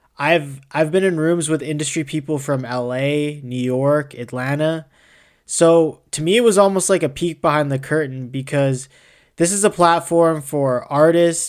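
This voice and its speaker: A man with a normal speaking voice, fairly high in pitch, at a moderate pace with fairly even intonation, on a very clean recording with a silent background. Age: 20s. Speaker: podcast host, university student. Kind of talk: scripted news segment; casual interview.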